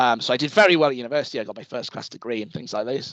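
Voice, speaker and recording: Speaking very fast with a northeast England accent, a man shows ordinary pitch variation. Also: quiet background. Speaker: university lecturer. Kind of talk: talk to students. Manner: casual, with frequent fillers and repetitions.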